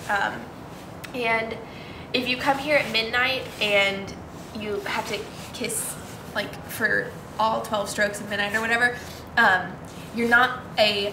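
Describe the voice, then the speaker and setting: Over noticeable background noise, a woman with an American accent speaks at a fairly high pitch and a fairly slow pace, leaving long, frequent pauses. Her intonation stays fairly even while her loudness swings widely. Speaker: college student; campus tour guide. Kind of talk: campus tour talk. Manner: casual, many fillers.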